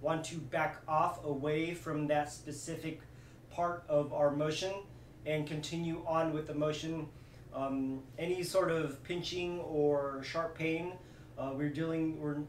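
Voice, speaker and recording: This man talks at a fairly slow pace in a flat monotone. The room echo is audible, with light background noise. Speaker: movement coach. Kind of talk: tutorial. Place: home room. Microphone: camera far.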